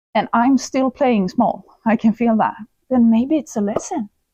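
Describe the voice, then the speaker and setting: The voice belongs to a woman with a Swedish accent. Her pitch is fairly high. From Sweden. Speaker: personal development influencer. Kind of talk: podcast interview.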